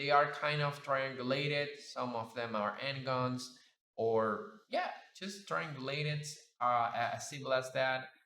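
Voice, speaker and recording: A man with a Spanish accent at a fairly slow pace and medium pitch, with ordinary pitch variation and audible room echo. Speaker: 3D sculpting artist and YouTuber. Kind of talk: casual reflective commentary over screen demo. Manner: halting, many fillers.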